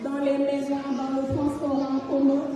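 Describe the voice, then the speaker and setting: Over noticeable background noise and audible room echo, a woman with a high voice speaks at a fairly slow pace in a Senegalese accent. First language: Pulaar (speaking French). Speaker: entrepreneur and community ambassador. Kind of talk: presentation to an audience. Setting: community event with audience.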